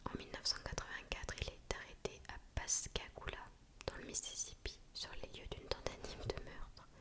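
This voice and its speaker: Whispering from a woman, with noticeable background noise around it. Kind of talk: true crime storytelling. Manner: whispered, soft.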